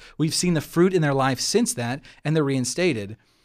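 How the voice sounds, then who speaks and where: A man's plain, everyday voice, fairly high in pitch, at a fairly quick pace with lively intonation, in a very clean recording with a silent background. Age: 30s. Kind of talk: casual chat.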